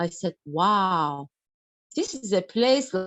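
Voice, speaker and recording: A woman with a Turkish accent talks at a fairly slow pace. Her pitch makes very wide swings. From Turkey. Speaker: doctor giving a health talk. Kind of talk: online health lecture.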